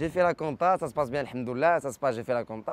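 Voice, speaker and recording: A Moroccan accent at a very fast pace. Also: man. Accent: Casablanca Moroccan accent in French. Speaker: comedian. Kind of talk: interview. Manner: animated.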